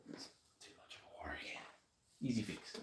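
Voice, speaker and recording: With an Australian accent, a man talks very fast in a somewhat breathy voice with a dark, mellow tone. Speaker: streamer doing motorcycle modding. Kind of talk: casual live-stream chat while working.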